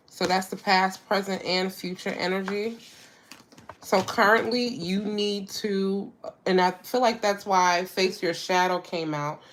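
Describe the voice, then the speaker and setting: The speech moves at a fairly slow pace with noticeable background noise behind it. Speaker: tarot reader. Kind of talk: live tarot reading. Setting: livestream with chat. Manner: casual, repetitive.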